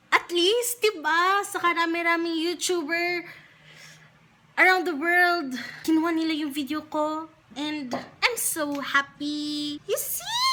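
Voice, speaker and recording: A woman projects a raised voice at an extremely high pitch, with ordinary pitch variation. Her tone is bright and sharp, and her pace very slow. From Philippines. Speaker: beauty YouTuber. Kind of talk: casual talk to camera.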